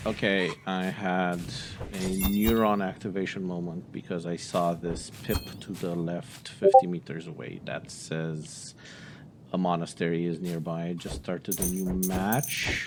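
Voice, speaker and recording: A man with a very deep, low pitch speaks at a fairly slow pace. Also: fairly even intonation. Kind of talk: gameplay commentary. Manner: low-energy, subdued.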